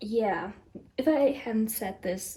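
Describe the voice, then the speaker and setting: A woman with a non-native accent speaks in a somewhat breathy voice with a dark, mellow tone and ordinary pitch variation. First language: not English. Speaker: tarot reader YouTuber. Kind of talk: casual vlog talk. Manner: halting, many fillers and restarts.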